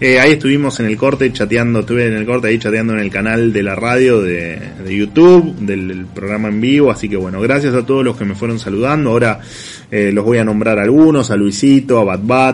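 Over noticeable background noise, a man talks at a fairly quick pace with an Argentine accent. His pitch is medium, and its variation ordinary. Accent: Rioplatense Argentine Spanish. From Argentina, La Plata. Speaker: radio show host and economic commentator. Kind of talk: radio editorial and interview, casual. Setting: radio studio, streamed on video. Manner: hesitant, many fillers and repetitions.

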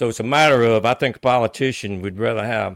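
This man has an American accent and a fairly low pitch. He talks at a very fast pace on a very clean recording with a silent background. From Louisiana, Avoyelles Parish. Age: 60s. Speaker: local politician. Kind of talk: interview. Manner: halting.

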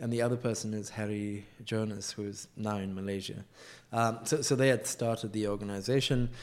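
A man speaks at a fairly quick pace in a fairly low pitch. His intonation is monotone and flat. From South Africa, northern KwaZulu-Natal. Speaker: environmental justice NGO director. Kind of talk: casual interview.

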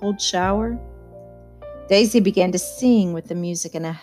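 Someone reads aloud in a natural voice while the pitch shifts in an ordinary way.

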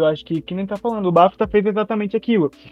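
A man talking at a very fast pace. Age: 20s. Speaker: film website creator, student. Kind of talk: casual chat.

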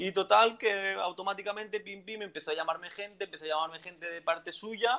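A man's high-pitched, raised, projected voice with a bright, sharp tone, big swings in loudness, fairly even intonation, hardly any pauses, and a fairly quick pace. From Valencia, Spain. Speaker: entrepreneur. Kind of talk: casual interview.

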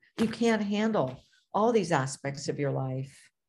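The woman speaking sounds somewhat breathy. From Canada, Toronto. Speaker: author and magazine editor. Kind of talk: interview. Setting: video call.

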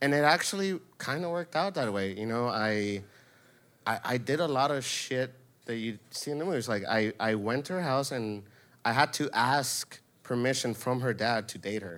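In a very clean recording with a silent background, a man with an American accent uses an ordinary speaking voice, medium in pitch, with lively intonation at a moderate pace. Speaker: storyteller. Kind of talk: storytelling. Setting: stage with audience.

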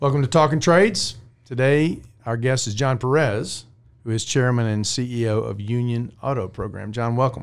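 At a moderate pace and medium pitch, a man uses a normal speaking voice whose pitch varies in an ordinary way. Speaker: podcast host. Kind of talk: interview.

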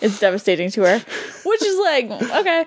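In a strong New England accent, the speaker keeps a moderate pace and a fairly even intonation. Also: woman. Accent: New England, thick. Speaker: podcast host. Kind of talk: casual chat. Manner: joking, bantering.

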